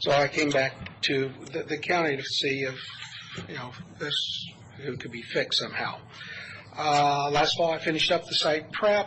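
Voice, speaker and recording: Fairly high-pitched for a man, his voice moves at a moderate pace with fairly even intonation and long, frequent pauses, while noticeable background noise runs underneath. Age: 60s. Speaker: resident speaking at public comment. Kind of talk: public comment at county meeting. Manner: halting, many fillers.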